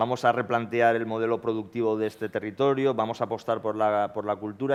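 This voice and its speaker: A man speaks at a medium pitch. His pace is fairly quick and his intonation fairly even. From Valencia region, Spain. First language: Valencian/Catalan (speaking Spanish). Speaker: panelist on TV policy debate. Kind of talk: panel debate.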